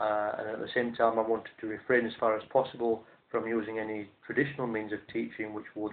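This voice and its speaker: The delivery is monotone and flat in intonation, moving at a fairly quick pace. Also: man. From South Yorkshire, England. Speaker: language teacher. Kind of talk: monologue to camera. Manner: hesitant, with frequent fillers. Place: home room. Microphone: webcam.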